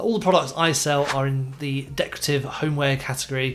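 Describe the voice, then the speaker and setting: Someone with a British accent speaks at a fairly quick pace, with fairly even intonation. Light background noise is present. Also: man. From UK. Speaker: e-commerce seller and YouTuber; online seller giving advice. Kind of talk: tutorial. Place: home room. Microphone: studio mic.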